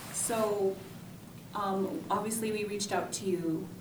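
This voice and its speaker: Audible room echo and noticeable background noise around a woman's medium-pitched voice. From South Dakota, Martin. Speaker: behavioral health program manager. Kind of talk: interview.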